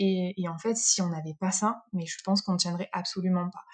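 A woman speaks in a somewhat breathy voice with a dark, mellow tone. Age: 30s. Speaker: nurse. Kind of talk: interview. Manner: hesitant, many fillers.

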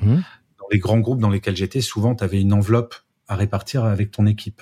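A dark, mellow, somewhat breathy voice at a fairly quick pace, in a very clean recording with a silent background. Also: man. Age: 50s. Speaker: speaker and management author. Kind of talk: casual interview chat.

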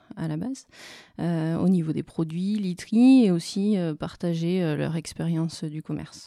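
Very slowly, a woman speaks with a dark, mellow tone and fairly even intonation. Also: very clean recording, silent background. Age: 30s. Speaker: marketing consultant. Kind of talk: interview. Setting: office.

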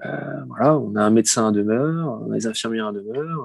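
This man talks at a moderate pace. His voice sits at a medium pitch with ordinary variation. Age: 40s. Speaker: nursing home director. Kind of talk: interview. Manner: halting, many repetitions and fillers.

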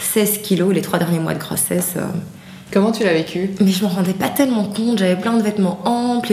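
The voice shows ordinary pitch variation. Audible room echo and noticeable background noise fill the recording. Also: woman. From Belgium (from age 8), Haitian-Dutch background. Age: 30s. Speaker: activist and digital communications worker, mother. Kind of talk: interview testimony. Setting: at her home.

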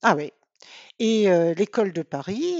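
Her pitch medium, a woman speaks with very wide pitch swings. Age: 50s. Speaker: volunteer breeder family for guide dogs. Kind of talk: interview. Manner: hesitant, repeats words.

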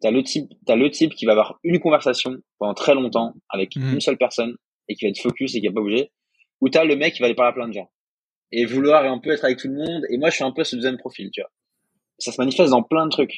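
Speaking at a very fast pace, a man with a medium pitch and ordinary pitch variation is heard in a dry, close sound with no echo. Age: 20s. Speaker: freelance writer and online school founder. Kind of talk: casual interview chat.

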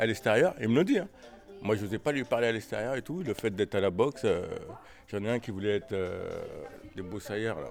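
A man with a medium-pitched voice talks at a fairly quick pace, leaving long, frequent pauses while music plays in the background. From Paris. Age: 50s. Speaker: boxing coach. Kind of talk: casual chat. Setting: gym.

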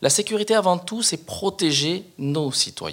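This is a normal speaking voice with lively intonation at a moderate pace. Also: man. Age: 40s. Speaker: police officer and mayoral candidate. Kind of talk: interview.

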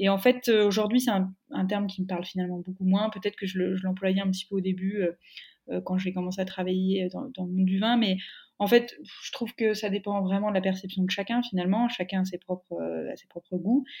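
A woman speaks with a medium pitch and fairly even intonation. Her delivery is somewhat breathy and fairly quick. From Burgundy, France (Dijon). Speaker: wine sales manager. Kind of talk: interview. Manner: hesitant, many fillers.

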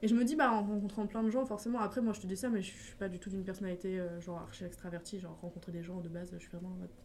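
Big swings in loudness and ordinary pitch variation at a very fast pace, with noticeable background noise. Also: woman, medium pitch for a woman. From France, Essonne (Paris region). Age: 20s. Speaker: social media content creator. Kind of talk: casual chat. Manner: fast, filler-heavy.

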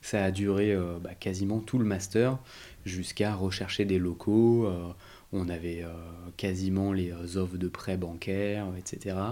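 A man speaks at a very deep, low pitch in a dark, mellow tone. His intonation is monotone and flat, and his pace is very slow, with long, frequent pauses. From Paris region, France. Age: 30s. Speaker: entrepreneur. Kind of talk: interview. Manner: halting.

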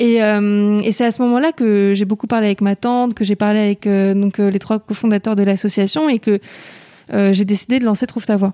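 A woman's voice with a dark, mellow tone moves at a fairly quick pace with fairly even intonation and a dry, close sound with no echo. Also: medium pitch for a woman, very even loudness. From Paris. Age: 20s. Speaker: nonprofit founder and student. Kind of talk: interview.

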